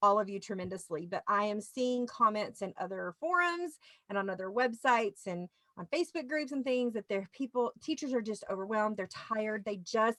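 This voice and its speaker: Bright and sharp in tone, a woman with a Louisiana accent speaks at a fairly high pitch and moderate pace with lively intonation. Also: dry, close sound with no echo. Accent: Southern US (Louisiana). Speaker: teacher show host. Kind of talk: casual chat.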